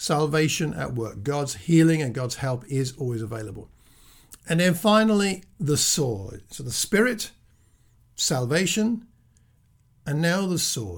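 A somewhat breathy man speaks at a fairly high pitch with very wide pitch swings. His pace is fairly slow, with long, frequent pauses. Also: very clean recording, silent background. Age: 60s. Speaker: preacher. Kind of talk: sermon. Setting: self-recorded at home.

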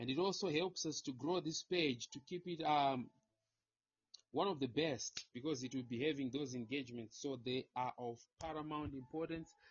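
Somewhat breathy, a man speaks in a fairly high pitch at a moderate pace with ordinary pitch variation. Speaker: livestream moderator. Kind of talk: livestream hosting. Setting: online livestream. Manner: animated.

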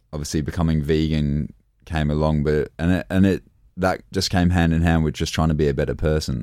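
On a very clean recording with a silent background, a man speaks fairly quickly at a very deep, low pitch in a dark, mellow tone with fairly even intonation. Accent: Australian. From born in England, grew up in Australia. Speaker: professional kickboxer. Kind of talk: casual interview.

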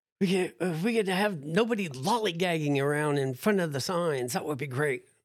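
This man has a normal speaking voice with an American accent and a fairly high pitch. He talks at a moderate pace with ordinary pitch variation. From New Jersey. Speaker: history teacher and transplant survivor. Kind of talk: casual interview. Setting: studio.

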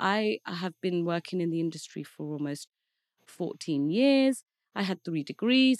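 Recorded very cleanly against a silent background, a woman with an English Midlands accent speaks at a medium pitch and moderate pace, with lively intonation in a dry, close sound with no echo. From Leicester, England. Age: 30s. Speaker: marketing executive. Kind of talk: casual interview. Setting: studio.

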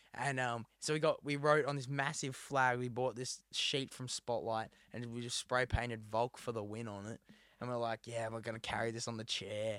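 Speaking with an Australian accent, a man delivers his words at a moderate pace and a medium pitch with fairly even intonation. The sound is dry and close with no echo, on a very clean recording with a silent background. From New South Wales, Australia (rural, near Dubbo). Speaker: musician and podcast co-host. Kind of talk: casual chat.

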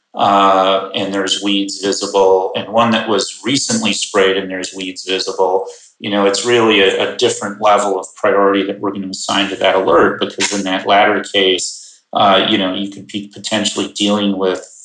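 A man talks at a moderate pace with an American accent. The room echo is audible. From US Midwest, Chicago suburbs. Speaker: ag tech company co-founder. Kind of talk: podcast interview.

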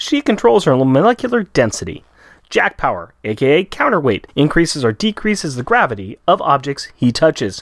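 At a fairly quick pace, a man speaks in a fairly high voice with very wide pitch swings and vocal fry. The recording is very clean with a silent background, and the sound is dry and close with no echo. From Australia. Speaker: podcast co-host. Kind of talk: casual chat.

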